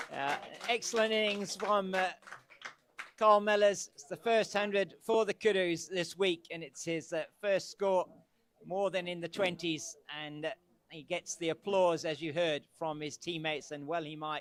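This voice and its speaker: This man's high-pitched voice shows big swings in loudness. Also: ordinary pitch variation, moderate pace. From England. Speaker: cricket commentator. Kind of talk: live commentary. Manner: halting.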